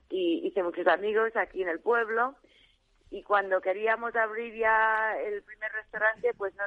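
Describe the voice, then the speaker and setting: A woman speaks at a moderate pace. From US, Arizona. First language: English (speaking Spanish). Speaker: restaurant director. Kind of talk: radio interview. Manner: halting.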